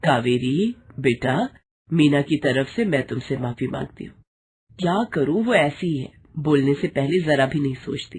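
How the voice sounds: A woman's put-on character voice, fairly slow and low-pitched, with lively intonation, a slightly mellow tone and a husky, rough edge.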